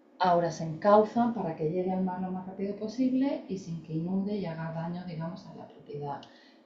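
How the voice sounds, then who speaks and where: A woman with an eastern Spanish accent speaks at a moderate pace with a fairly low pitch and ordinary pitch variation. Her loudness swings widely, with noticeable background noise and audible room echo. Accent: Spanish (peninsular, eastern Spain). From Spain. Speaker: landscape architect and researcher. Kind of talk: lecture. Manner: hesitant, with fillers.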